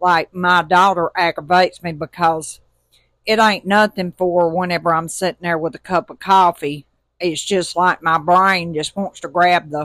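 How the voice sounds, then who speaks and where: Speaking at a moderate pace with an Alabama accent, a woman has a fairly low pitch, heard in a dry, close sound with no echo on a very clean recording with a silent background. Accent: US Southern (Alabama). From Alabama, Tuscaloosa. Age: 50s. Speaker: podcast host, motivational. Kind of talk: casual monologue. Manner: animated.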